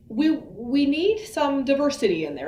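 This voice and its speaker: A woman with an American accent swings very widely in pitch, with audible room echo and noticeable background noise. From US Midwest, Iowa. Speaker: veterinarian. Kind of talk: educational talk. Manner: fast.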